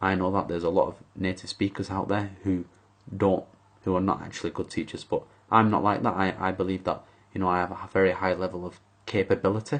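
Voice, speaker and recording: A man with a very deep, low voice, monotone, flat intonation and a very fast pace. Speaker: English teacher. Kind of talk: job application video monologue. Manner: hesitant, many fillers.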